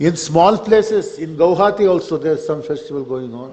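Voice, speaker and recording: Fairly high-pitched man's voice with a Kannada accent. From Karnataka, India. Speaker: poet on festival panel. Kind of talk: panel discussion. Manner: halting, many fillers.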